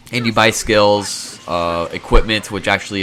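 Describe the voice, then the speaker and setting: A man speaks over noticeable background noise. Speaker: video game reviewer. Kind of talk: video game review.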